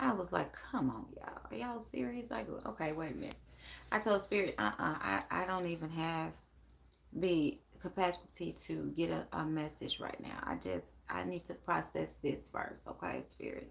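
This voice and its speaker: An American accent marks this woman's quiet voice as she speaks at a moderate pace. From Memphis, Tennessee (US South). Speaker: psychic medium live-streamer. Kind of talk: casual live stream chat. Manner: quiet, talking low; animated.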